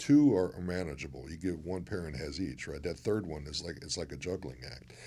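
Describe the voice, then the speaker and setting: Lively intonation marks this man's very deep, low voice, which carries vocal fry. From Chicago, US Midwest. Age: 60s. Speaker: former pro football player, magazine founder, broadcaster. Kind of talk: casual interview chat.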